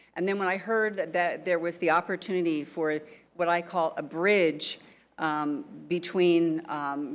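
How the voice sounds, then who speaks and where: A woman's fairly low voice at a moderate pace against a quiet background. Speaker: banker giving welcome remarks. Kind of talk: conference welcome speech. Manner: halting, many fillers.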